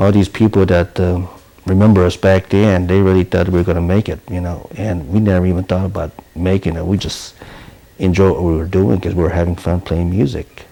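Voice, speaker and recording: A man's very deep, low voice, monotone and flat, at a fairly quick pace over noticeable background noise. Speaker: band leader, bass guitarist and vocalist. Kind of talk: interview answer. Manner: candid.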